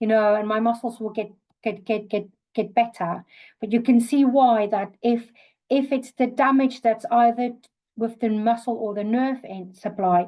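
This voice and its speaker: A woman's fairly high voice with a South African accent, a dark, mellow tone, ordinary pitch variation and a moderate pace over a quiet background. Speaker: occupational therapist. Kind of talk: webinar lecture. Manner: hesitant, many fillers.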